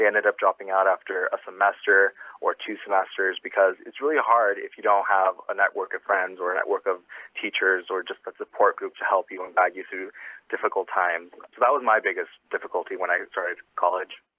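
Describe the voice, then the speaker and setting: Speaking with an American accent, a man moves at a fairly quick pace. His loudness swings widely. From Phoenix, Arizona. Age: 20s. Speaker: university student. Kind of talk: interview answer.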